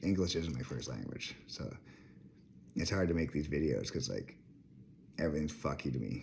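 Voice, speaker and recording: A man speaks at a very deep, low pitch with vocal fry. His pace is moderate, and audible room echo surrounds him. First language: French. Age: 30s. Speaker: vlogger. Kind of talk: rant. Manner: rambling, jumping between topics.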